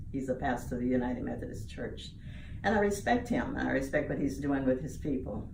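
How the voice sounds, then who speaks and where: A woman talks very fast, with noticeable background noise and audible room echo in the recording. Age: 80s+. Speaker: church lay leader. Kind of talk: interview.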